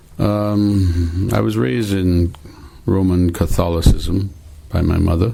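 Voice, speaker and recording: A man speaks very slowly in a very deep, low voice with ordinary pitch variation, over noticeable background noise. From Trinidad. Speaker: religious devotee. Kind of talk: testimony. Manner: halting.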